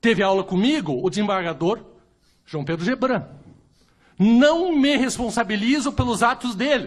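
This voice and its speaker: A man with a Curitiba accent talks in a high pitch with very wide pitch swings and an animated tone. Long pauses come often. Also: moderate pace. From Brazil, Curitiba. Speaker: lawyer and jurist. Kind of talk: panel debate talk.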